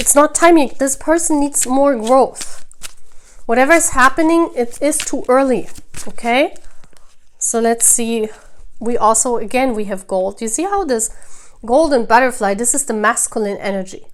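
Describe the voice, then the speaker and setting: A woman with a non-native accent speaks in a high voice with lively intonation. She leaves long, frequent pauses. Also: moderate pace. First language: non-native English speaker. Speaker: tarot reader. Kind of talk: tarot reading to camera.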